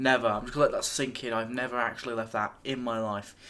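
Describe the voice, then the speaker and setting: On a very clean recording with a silent background, a man with an English accent speaks fairly quickly in a bright, sharp tone. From England. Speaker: YouTube reaction video creator. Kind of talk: casual video reaction commentary.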